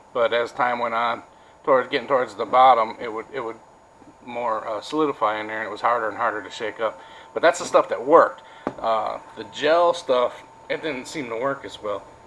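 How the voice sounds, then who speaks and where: This man talks at a fairly quick pace with an American accent and a medium pitch. His loudness swings widely, his pitch varies in an ordinary way, and background noise is noticeable. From Wisconsin. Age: 40s. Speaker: vlogger. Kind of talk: casual vlog monologue. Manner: halting, many fillers.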